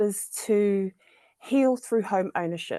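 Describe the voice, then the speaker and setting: A woman with a New Zealand accent, ordinary pitch variation, and a dry, close sound free of echo. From New Zealand, central North Island. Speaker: social equity fellow. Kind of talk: panel discussion.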